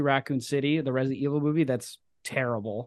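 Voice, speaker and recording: A man talking at a very fast pace. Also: quiet background. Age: 20s. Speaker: podcast host and film fan. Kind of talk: casual chat. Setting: remote video call.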